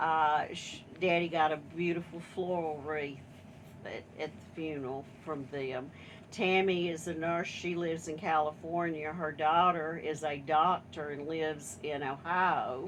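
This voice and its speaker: With an American accent, a woman speaks in a very deep, low pitch and a monotone, flat intonation. Her loudness swings widely, and room echo is audible. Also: fairly slow pace. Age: 70s. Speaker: family member. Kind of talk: casual chat.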